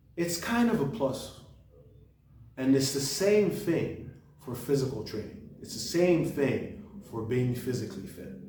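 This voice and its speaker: A man's fairly high voice moves at a fairly slow pace, swinging very widely in pitch and sharply in loudness. Noticeable background noise sits behind him. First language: French. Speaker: book reviewer, channel host. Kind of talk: casual monologue book review. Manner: halting, with repetitions and restarts.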